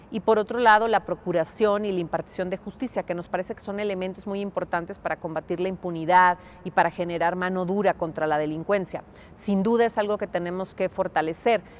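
Speaking at a fairly quick pace, a woman lets her loudness swing widely from moment to moment. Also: fairly even intonation. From Mexico, León, Guanajuato; Guanajuato, Mexico. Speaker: political candidate; candidate. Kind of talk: interview. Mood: calm, assured. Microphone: lapel.

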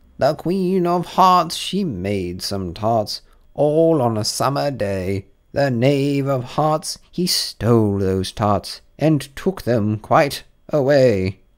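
In a put-on character voice, a man speaks very slowly with a shrill, medium-pitched sound on a very clean recording with a silent background. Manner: hasty, officious.

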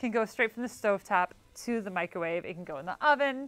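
Bright and sharp in tone, a woman rattles along at a very fast pace. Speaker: cooking show host. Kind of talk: tutorial. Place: studio.

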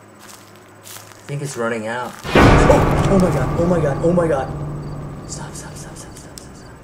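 Over loud background noise, a man talks at a fairly slow pace with ordinary pitch variation. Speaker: gamer. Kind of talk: frightened gameplay commentary. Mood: scared, panicked. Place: home room. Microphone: webcam.

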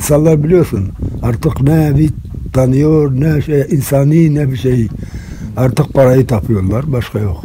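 A man's somewhat breathy, dark and mellow voice at medium pitch, with ordinary pitch variation and a very slow pace. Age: 70s. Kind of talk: interview answer.

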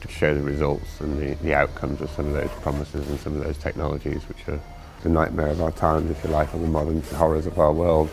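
Over light background noise, the speech runs at a very fast pace in a monotone, flat intonation. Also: man, very deep, low pitch for a man. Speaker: ringmaster and creative director of the event. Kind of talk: documentary interview answer. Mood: calm, reflective. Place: hall.

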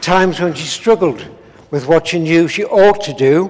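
At a fairly slow pace, a man talks with a fairly high pitch.

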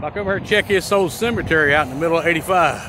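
Over noticeable background noise, a man with an American accent speaks at a moderate pace with ordinary pitch variation, the sound dry with no echo. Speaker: YouTuber, amateur explorer; YouTuber. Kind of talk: casual vlog narration. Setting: outdoors by an interstate highway. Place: open country. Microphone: phone near.

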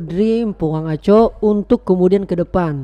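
A man speaks against a quiet background. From South Sulawesi, Indonesia (Bone); South Sulawesi, Indonesia. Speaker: podcast host. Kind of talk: interview. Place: studio.

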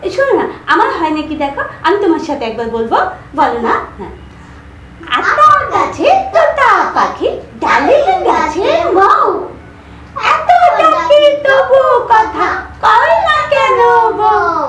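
In a cartoonish character voice at an extremely high pitch, the speaker moves slowly through very wide pitch swings, with a slight echo around it. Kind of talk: children's puppet show dialogue. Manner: excited, eager.

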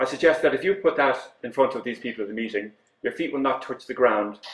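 The man talks at a very fast pace amid audible room echo. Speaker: conference presenter. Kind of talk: lecture. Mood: wry storytelling. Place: hall.

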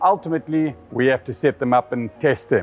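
A man at a moderate pace with ordinary pitch variation and faint music in the background. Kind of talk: product demonstration talk. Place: workshop. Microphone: lapel.

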